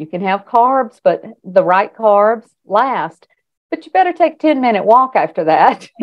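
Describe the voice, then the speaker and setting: This woman speaks in a Southern US accent, fairly high in pitch. Her pitch swings very widely. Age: 60s. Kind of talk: interview answer.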